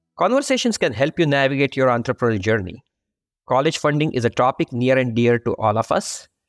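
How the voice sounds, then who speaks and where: Speaking very fast with an Indian accent, a man holds a medium pitch with ordinary pitch variation and very even loudness, in a very clean, dry, close recording with a silent background and no echo. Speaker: podcast host, accounting firm practice leader. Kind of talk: interview.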